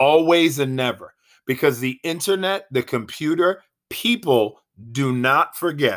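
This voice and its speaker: On a very clean recording with a silent background, a plain, everyday voice speaks at a fairly slow pace. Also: man. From Boston area. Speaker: sports podcast host. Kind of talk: solo sports commentary monologue.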